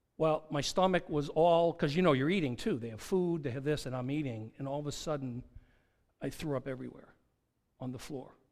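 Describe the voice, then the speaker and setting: A man with an American accent speaks in a normal speaking voice at a fairly high pitch, with ordinary pitch variation. His pace is fairly quick, and the recording is very clean with a silent background. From New Hampshire, US. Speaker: pastor. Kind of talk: sermon. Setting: church.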